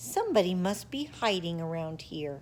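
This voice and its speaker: A woman does a put-on character voice at a fairly low pitch, with lively intonation and a moderate pace. Clear background noise can be heard. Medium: read story. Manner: exclaiming.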